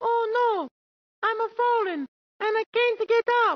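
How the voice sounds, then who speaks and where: A put-on character voice with an extremely high pitch speaks at a fairly slow pace. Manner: exaggerated, melodramatic.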